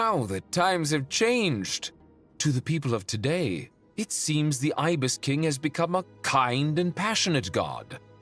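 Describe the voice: A man's put-on character voice, fairly high and fairly bright, with big pitch swings and a fairly slow pace over faint background music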